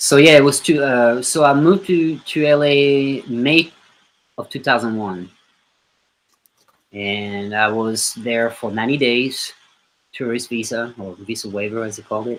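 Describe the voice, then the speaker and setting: With a French accent, this man talks in big swings of loudness and leaves long, frequent pauses. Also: medium pitch for a man, ordinary pitch variation, fairly slow pace. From southern France. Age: 30s. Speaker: musician. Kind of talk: interview.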